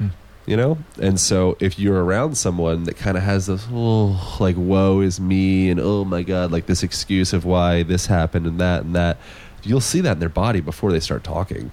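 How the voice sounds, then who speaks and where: A man speaks in a dark, mellow tone with a very deep, low pitch. His loudness holds very even. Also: ordinary pitch variation, moderate pace. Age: 30s. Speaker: movement coach and manual therapist. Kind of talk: interview podcast. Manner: animated.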